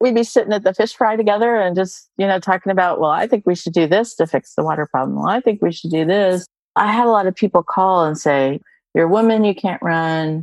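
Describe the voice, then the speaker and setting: A woman speaks at a medium pitch with ordinary pitch variation and a fairly quick pace, in an American accent. She has a plain, everyday voice, recorded with a dry, close sound with no echo against a quiet background. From US South, small-town Arkansas Ozarks. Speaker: nonprofit research officer and mother. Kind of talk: interview.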